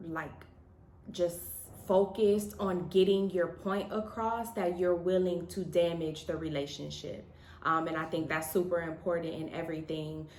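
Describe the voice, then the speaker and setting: Audible room echo surrounds a woman speaking at a moderate pace, with fairly low pitch and fairly even intonation. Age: 30s. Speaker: married couple vlogger. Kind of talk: casual chat.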